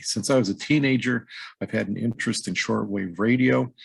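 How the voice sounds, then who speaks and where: A man with an American accent and a normal speaking voice, with ordinary pitch variation. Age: 50s. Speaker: podcast host. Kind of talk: scripted personal introduction.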